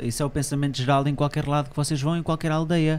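A man with a European Portuguese accent speaks at a fairly high pitch. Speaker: podcast host. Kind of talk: casual interview. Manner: animated. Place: studio. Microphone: studio mic.

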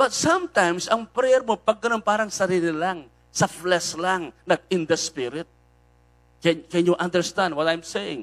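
A man with a Filipino accent talks at a fairly slow pace in a high voice, with ordinary pitch variation and a quiet background. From Philippines. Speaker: preacher. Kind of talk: sermon. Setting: online live stream. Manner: animated; exhortative. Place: church. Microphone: handheld.

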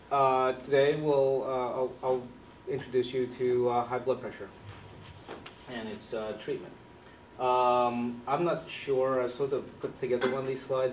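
In a room with audible echo and light background noise, a man speaks at a moderate pace with monotone, flat intonation. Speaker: physician trainer. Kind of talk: lecture. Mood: light, self-deprecating humor. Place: classroom. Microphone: camera far.

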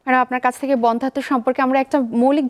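Recorded dry and close with no echo, a woman speaks in a high voice. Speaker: TV health show host, doctor. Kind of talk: live TV presenting. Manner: formal.

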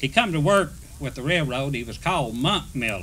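A man with a Southern US accent and a bright, sharp tone. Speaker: retired railroad worker. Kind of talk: oral history storytelling.

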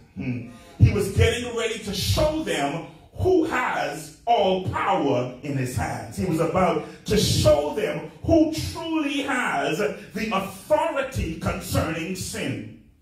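A man at a very slow pace, with very wide pitch swings and audible room echo. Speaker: preacher. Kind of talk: sermon. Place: church.

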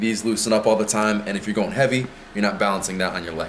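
Light noise sits in the background. Over it, a man talks. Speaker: fitness coach. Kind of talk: casual tour explanation. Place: gym.

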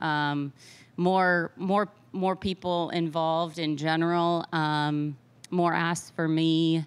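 Her pitch is fairly low for a woman, and her intonation stays fairly even. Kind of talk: interview answer. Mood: relaxed, reflective. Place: meeting room. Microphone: handheld.

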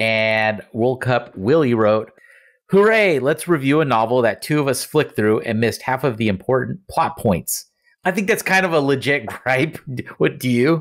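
Using a plain, everyday voice, a man speaks at a moderate pace and medium pitch with lively intonation and very even loudness. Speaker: podcast host. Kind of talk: casual chat. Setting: remote recording at home.

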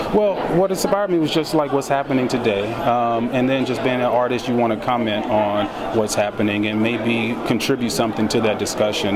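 A man speaks at a medium pitch. Loud background noise is present. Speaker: film director. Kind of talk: red carpet interview. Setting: outdoors at premiere event. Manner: hesitant, many fillers. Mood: thoughtful, earnest. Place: hall. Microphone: handheld.

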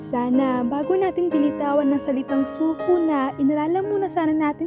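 Over music in the background, a woman speaks at a fairly quick pace in a high pitch with fairly even intonation. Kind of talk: spoken word poetry.

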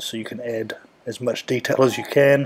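In a New Zealand accent, a man talks at medium pitch with a dark, mellow tone. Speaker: primary school teacher. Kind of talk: coding tutorial narration.

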